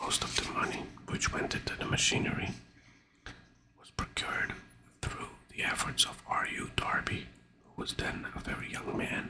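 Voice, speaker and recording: Whispering at a moderate pace, the speaker leaves long, frequent pauses and shifts widely in loudness over noticeable background noise. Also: man. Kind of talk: audiobook reading. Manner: whispered.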